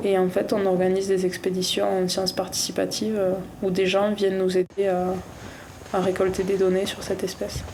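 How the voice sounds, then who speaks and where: With audible room echo and noticeable background noise around her, a woman speaks at a moderate pace. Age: 20s. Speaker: ski instructor and ecologist. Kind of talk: casual interview. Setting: outdoors, ski touring in snowy mountains. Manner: hesitant, many fillers.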